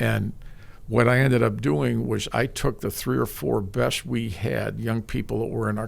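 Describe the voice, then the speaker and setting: A man speaks with a Midwestern American accent. His pace is moderate. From US Midwest, East Lansing, Michigan. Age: 70s. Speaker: sports broadcaster. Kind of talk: interview. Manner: halting.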